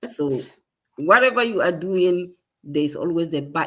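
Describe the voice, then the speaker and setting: This woman has a bright, sharp tone, a medium pitch and a Ghanaian accent. Her pitch swings very widely at a moderate pace. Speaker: digital business owner. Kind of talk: live stream conversation.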